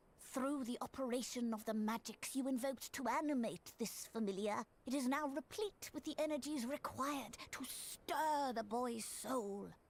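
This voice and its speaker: A woman puts on a character voice at a high pitch. She talks at a moderate pace with hardly any pauses. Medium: video game. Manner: measured, formal.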